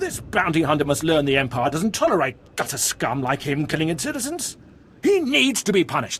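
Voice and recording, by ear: Using a put-on character voice, a man talks at a fairly quick pace with a fairly high pitch and big pitch swings. His tone is fairly bright, with a slightly husky edge.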